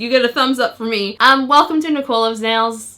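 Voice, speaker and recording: A woman speaks at a very fast pace in a raised, projected voice with a bright, sharp tone, recorded very cleanly over a silent background. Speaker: nail polish YouTuber. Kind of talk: product review video intro. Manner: animated.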